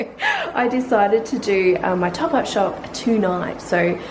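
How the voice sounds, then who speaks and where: A woman with an Australian accent speaks at a medium pitch with ordinary pitch variation, amid audible room echo and noticeable background noise. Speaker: family vlogger. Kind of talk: casual vlog chat. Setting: at home at night. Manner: quiet.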